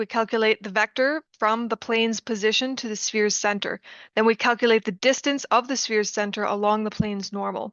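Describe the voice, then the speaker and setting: With an unremarkable speaking voice, a woman talks at a fairly high pitch and fairly quick pace, her intonation fairly even. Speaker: student. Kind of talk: tutorial.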